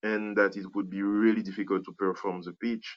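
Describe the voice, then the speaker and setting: In a French accent, a man talks in a monotone, flat intonation at a fairly low pitch. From Martinique. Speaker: animator and filmmaker. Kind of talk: interview. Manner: halting, many fillers.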